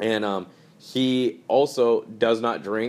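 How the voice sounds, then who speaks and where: A man at medium pitch with monotone, flat intonation. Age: 20s. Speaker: podcast co-host. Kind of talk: casual chat.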